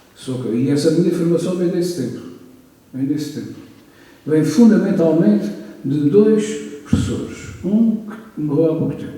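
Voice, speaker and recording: A fairly high-pitched man speaks at a moderate pace, with audible room echo. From Azores, Faial (Horta). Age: 70s. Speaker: author and retired professor. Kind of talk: book launch talk.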